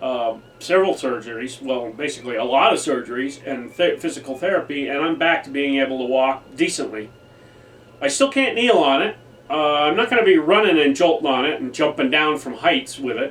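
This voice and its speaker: Noticeable background noise surrounds a man talking at a fairly quick pace. His voice is fairly high in pitch with lively intonation. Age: 60s. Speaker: airsoft YouTuber. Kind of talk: casual vlog monologue. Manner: halting with fillers.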